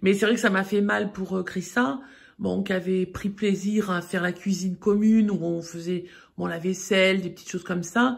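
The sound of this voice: A woman's vocal fry, with fairly even intonation at a moderate pace. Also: medium pitch for a woman.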